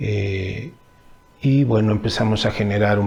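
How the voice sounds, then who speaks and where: At a fairly slow pace, a man speaks in a somewhat breathy voice with a fairly low pitch. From Mexico, Temixco (Morelos). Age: 40s. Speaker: stage artist and cultural manager. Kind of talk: interview answers. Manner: halting, many fillers.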